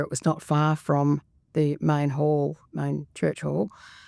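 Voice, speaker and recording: A woman with an Australian accent speaks at a moderate pace in a very deep, low pitch and dark, mellow tone with fairly even intonation, captured dry and close with no echo on a very clean recording with a silent background. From Australia, Sydney. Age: 70s. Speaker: retired school worker and grandmother. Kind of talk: podcast interview. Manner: hesitant, many fillers.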